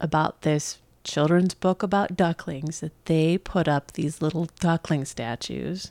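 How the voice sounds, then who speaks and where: In a plain, everyday voice, a woman with an American accent speaks at a fairly slow pace and a fairly low pitch, the sound dry and close with no echo on a very clean recording with a silent background. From New York. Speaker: podcast co-host. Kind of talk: casual chat. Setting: home apartment.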